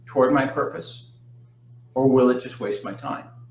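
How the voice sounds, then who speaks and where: A man's medium-pitched voice, with ordinary pitch variation, comes through audible room echo and noticeable background noise. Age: 60s. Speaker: hypnotist. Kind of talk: live Q&A talk. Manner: frequent fillers and repetitions.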